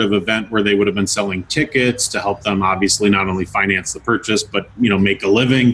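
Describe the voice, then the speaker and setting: A man with a normal speaking voice talks at a fairly low pitch. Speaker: auctioneer, collector. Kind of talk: interview answer.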